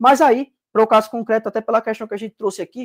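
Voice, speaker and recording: Very fast, a man talks at a high pitch with ordinary pitch variation. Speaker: exam prep teacher. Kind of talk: live online class. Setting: livestream. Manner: animated.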